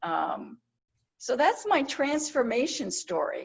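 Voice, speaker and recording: The speaker is a woman with an American accent. She talks at a very slow pace. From New Jersey. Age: 70s. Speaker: retired copywriter and author. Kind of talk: casual interview chat.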